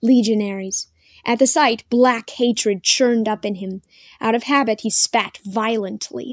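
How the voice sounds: Over a quiet background, a natural reading voice comes through.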